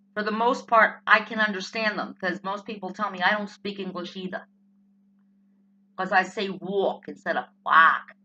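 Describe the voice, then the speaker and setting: A woman with a New Jersey accent speaks at a moderate pace with a medium pitch. Her tone is animated, bright and sharp, with big swings in loudness. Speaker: political vlogger. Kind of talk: opinion rant vlog.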